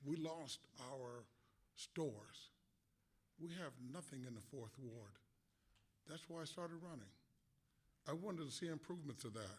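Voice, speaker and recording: A somewhat breathy man with a fairly high pitch, a moderate pace and ordinary pitch variation. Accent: American. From Galesburg, Illinois, US Midwest. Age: 70s. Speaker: city council candidate, Vietnam veteran. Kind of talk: candidate forum speech. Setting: public forum, broadcast on radio. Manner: halting, many fillers.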